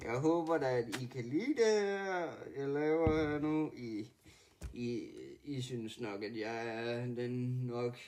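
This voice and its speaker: At a very slow pace, the speech shows ordinary pitch variation. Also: man, medium pitch for a man. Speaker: gaming YouTuber. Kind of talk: gameplay commentary. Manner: halting, many fillers.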